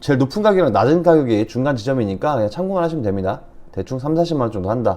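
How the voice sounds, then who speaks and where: Speaking very fast, this man has a medium pitch, a dark, mellow tone and very wide pitch swings. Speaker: online reselling instructor. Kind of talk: tutorial.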